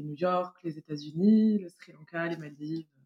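At a moderate pace, a woman speaks in a plain, everyday voice, fairly low in pitch. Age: 30s. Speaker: parent and travel guest. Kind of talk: casual interview.

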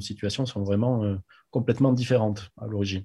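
Somewhat breathy and dark, mellow in tone, a man speaks at a moderate pace with a fairly low pitch and fairly even intonation against a quiet background. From France, Agen. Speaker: rugby club president. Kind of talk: interview.

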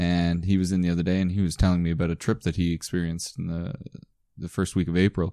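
Very fast and very deep, a man with a Canadian Maritime accent talks in a dark, mellow tone, in a dry, close sound with no echo against a quiet background. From Prince Edward Island, Canada. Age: 20s. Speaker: podcast co-host. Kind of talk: casual chat.

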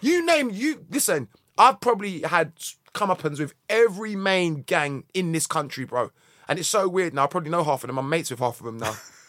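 In a South London accent, a man with a high voice talks at a fairly quick pace with very wide pitch swings. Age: 40s. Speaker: musician. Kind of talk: casual chat.

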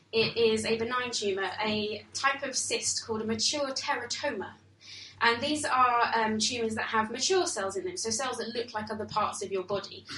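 Against noticeable background noise and audible room echo, a woman speaks at a moderate pace in a fairly high voice. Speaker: storyteller. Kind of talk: storytelling performance. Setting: stage with audience.

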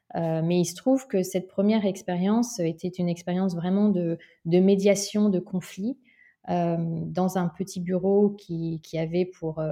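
The tone is dark and mellow. Delivery is fairly slow, with fairly even intonation. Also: woman. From Paris region, France. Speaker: social entrepreneur, former international diplomat. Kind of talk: interview. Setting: remote recording. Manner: halting, frequent repetitions and hesitations.

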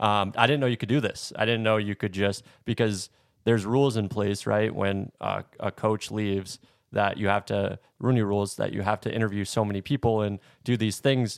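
This man has a normal speaking voice, pitched fairly low, with fairly even intonation and a moderate pace, in a dry, close sound with no echo on a very clean recording with a silent background. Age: 20s. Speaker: sports podcast co-host. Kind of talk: casual chat.

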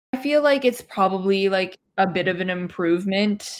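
Recorded very cleanly with a silent background, a woman talks at a fairly slow pace with a Canadian accent. She has a plain, everyday voice at medium pitch. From Canada, Toronto area. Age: 20s. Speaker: Chinese adoptee, graduate student. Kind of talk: casual discussion.

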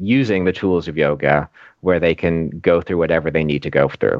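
Using a very deep, low pitch and an American accent, a man talks at a moderate pace with ordinary pitch variation. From Florida, US. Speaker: yoga teacher. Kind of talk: casual interview.

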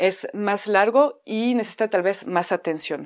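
A woman talks with ordinary pitch variation at a medium pitch. The clip is a very clean recording against a silent background. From France. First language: French (speaking Spanish). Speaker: theatre teacher and podcaster. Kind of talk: podcast monologue.

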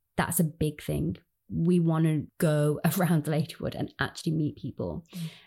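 At a moderate pace and in a Birmingham accent, the speaker uses fairly even intonation with vocal fry and a dark, mellow tone on a very clean recording with a silent background. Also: woman, very deep, low pitch for a woman. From Birmingham, England. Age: 20s. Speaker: community organiser. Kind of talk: interview.

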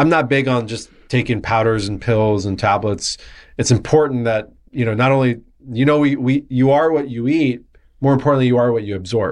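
Against a quiet background, a man with an American accent talks at a fairly quick pace, his medium pitch varying in an ordinary way. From US West Coast, San Diego area. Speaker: wellness entrepreneur. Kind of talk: casual interview.

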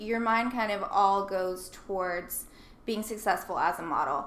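A woman with an American accent at medium pitch and moderate pace, with audible room echo. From US South, Nashville, Tennessee. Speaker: model and sustainability blogger. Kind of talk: casual interview. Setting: in person, Brooklyn.

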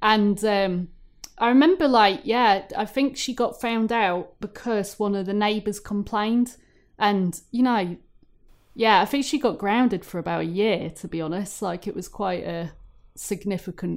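A woman in an ordinary speaking voice, medium pitch, ordinary pitch variation, fairly slow, on a very clean recording with a silent background. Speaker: podcast guest. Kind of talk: casual chat. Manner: laughs often, casual.

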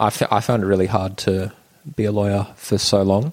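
This man's fairly low voice moves at a moderate pace with fairly even intonation. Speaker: stand-up comedian and former lawyer. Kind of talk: casual chat. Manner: monotone.

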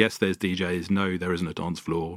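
In a London accent, a man talks fairly quickly in a very deep, low voice with monotone, flat intonation. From North London. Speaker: venue founder and sound engineer. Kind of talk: casual interview. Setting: live venue.

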